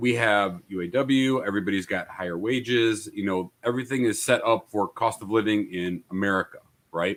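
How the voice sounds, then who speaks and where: A man talks at a moderate pace, fairly low in pitch with ordinary variation. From immigrant, came to US via Italy and Austria. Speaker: podcast panelist. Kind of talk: casual debate.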